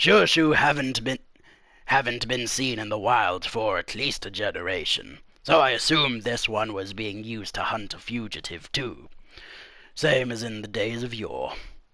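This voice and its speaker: Here a man uses a put-on character voice. He speaks at a moderate pace and medium pitch. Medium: read story. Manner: dismissive, offhand.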